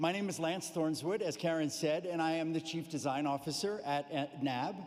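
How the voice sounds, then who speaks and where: A man with a fairly high pitch, a plain, everyday voice, a moderate pace and ordinary pitch variation. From United States. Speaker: corporate executive, sponsor speaker. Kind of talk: formal speech.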